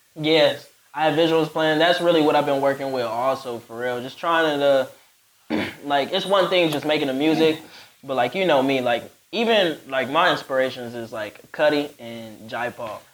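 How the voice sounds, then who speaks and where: A man with an ordinary speaking voice, fairly high-pitched, with ordinary pitch variation at a moderate pace. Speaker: rapper and recording artist. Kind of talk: casual podcast interview. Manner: laid-back, slangy.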